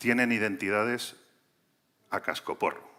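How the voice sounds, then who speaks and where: On a very clean recording with a silent background, a man with a bright, sharp tone speaks at a moderate pace. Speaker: cybersecurity sales executive. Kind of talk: conference talk.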